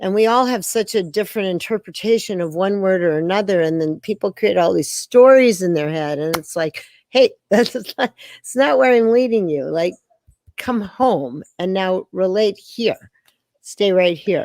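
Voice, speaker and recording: A woman with an unremarkable speaking voice talks at a moderate pace and medium pitch, her intonation lively and the sound dry and close with no echo. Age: 60s. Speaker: dance teacher. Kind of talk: interview. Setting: video call.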